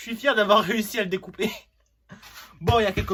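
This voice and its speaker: A man is speaking. His voice is high-pitched for a man. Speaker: DIY YouTuber. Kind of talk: casual vlog commentary while building.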